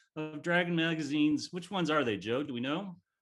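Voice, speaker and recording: A man speaks fairly quickly with music in the background. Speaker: auctioneer. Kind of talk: charity auction calling. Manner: humorous, bantering.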